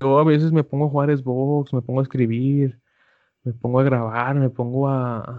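This man has a plain, everyday voice at a medium pitch. He speaks fairly slowly, with fairly even intonation. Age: 20s. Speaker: podcast co-host. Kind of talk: casual chat.

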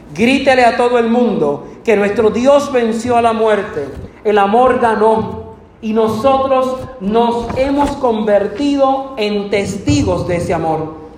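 A man speaks at a moderate pace with a high pitch and ordinary pitch variation. Noticeable background noise and audible room echo surround his voice. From Puerto Rico. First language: Spanish. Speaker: preacher. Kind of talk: sermon. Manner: bilingual, self-translating.

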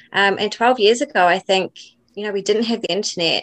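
A woman with a New Zealand accent. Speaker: doula and birth educator. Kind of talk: interview.

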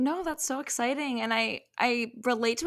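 This is a very clean recording with a silent background. A woman with an Ontario accent speaks in a fairly high pitch with ordinary pitch variation. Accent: Canadian English (Ontario). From Canada. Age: 20s. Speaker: podcast host. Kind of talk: casual interview chat.

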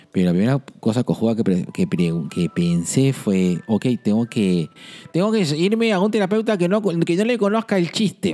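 Music plays behind a man speaking at a fairly high pitch. His pitch swings very widely, yet his loudness stays very even. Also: moderate pace. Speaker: podcast host, psychologist. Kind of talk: casual chat.

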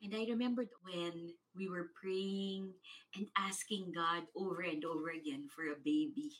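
With a normal speaking voice, a woman at a medium pitch speaks at a fairly slow pace with lively intonation. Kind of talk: fervent prayer, congregational prayer led aloud. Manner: fervent, rhythmic, repeated 'we say yes' declarations building in intensity.

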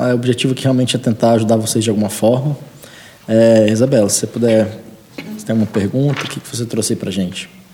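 A man's medium-pitched voice at a very fast pace, with noticeable background noise. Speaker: entrepreneur and startup mentor. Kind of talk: casual chat.

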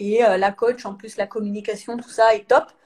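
Here a woman has an ordinary speaking voice. She speaks at a fairly quick pace with a fairly high pitch. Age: 30s. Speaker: sprinter, 400 m athlete. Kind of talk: live interview.

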